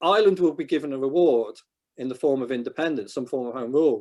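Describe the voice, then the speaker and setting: A man with a northwest English accent. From England, northwest. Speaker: historian. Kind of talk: Q&A after a talk.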